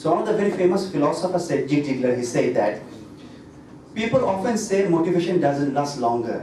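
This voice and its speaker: A man with lively intonation, amid noticeable background noise and audible room echo. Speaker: doctor and hypnotherapist. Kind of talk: health talk to audience.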